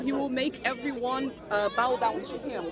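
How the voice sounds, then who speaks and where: Crowd noise fills the background. A woman with a non-native accent speaks at a high pitch and a moderate pace. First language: not English. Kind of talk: debate question. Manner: halting, searching for words.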